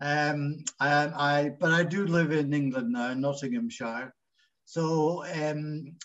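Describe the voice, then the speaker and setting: A man with a Scottish accent, fairly high pitch and a very slow pace. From Scotland, Glasgow. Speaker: engineer and businessman. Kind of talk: interview. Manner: halting.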